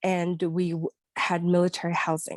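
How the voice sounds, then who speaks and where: The sound is dry and close with no echo, and the recording is very clean with a silent background. A woman speaks at a fairly low pitch. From Philippines (Manila). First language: not English (English is third language). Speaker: kindergarten teacher. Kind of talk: personal testimony in group discussion. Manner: halting, with repetitions.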